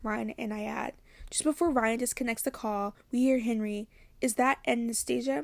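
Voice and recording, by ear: Someone is reading aloud in a natural voice. The reading is heard throughout the clip.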